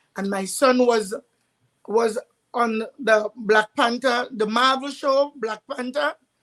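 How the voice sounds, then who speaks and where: A high-pitched woman's voice with a Trinidadian accent, fairly slow and with fairly even intonation. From Trinidad and Tobago. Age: 60s. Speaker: parent sharing advice. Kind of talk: online summit panel talk.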